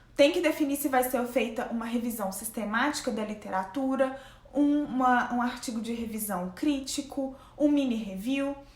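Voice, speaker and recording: Over noticeable background noise and audible room echo, a woman talks at a high pitch with ordinary pitch variation and a moderate pace. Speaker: graduate researcher and science YouTuber. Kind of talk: casual tutorial vlog. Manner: conversational.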